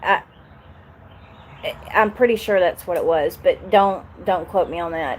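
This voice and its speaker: In a Southern US accent, a woman speaks with a medium-pitched voice. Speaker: YouTuber. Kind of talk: live stream chat. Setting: live stream.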